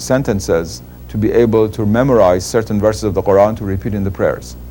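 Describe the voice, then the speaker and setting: With a Persian accent, a man of fairly low pitch talks at a fairly quick pace with lively intonation. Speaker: Islamic scholar. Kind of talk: interview.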